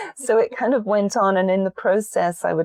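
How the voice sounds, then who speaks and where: In an English accent, a woman with a dark, mellow tone and medium pitch speaks at a moderate pace with ordinary pitch variation, the sound dry and close with no echo. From England. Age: 50s. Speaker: meditation teacher and soul coach. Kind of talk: podcast interview.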